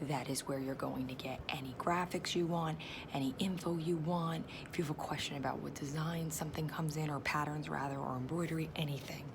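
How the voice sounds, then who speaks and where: A woman's whisper at a fairly quick pace, with noticeable background noise and audible room echo. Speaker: direct sales consultant. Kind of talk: tutorial. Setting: at work. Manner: whispering.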